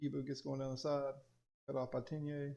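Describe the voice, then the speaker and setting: A man's fairly high voice in a strong Southern US accent, dark and mellow in tone, monotone and flat, at a moderate pace. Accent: thick Southern US. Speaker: teacher, coach and gaming youtuber. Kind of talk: gameplay commentary. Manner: casual, conversational.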